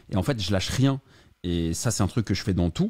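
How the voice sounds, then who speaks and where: A man speaks in a dark, mellow tone. His pace is fairly quick, with ordinary pitch variation. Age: 30s. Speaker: real estate investor and entrepreneur. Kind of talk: interview.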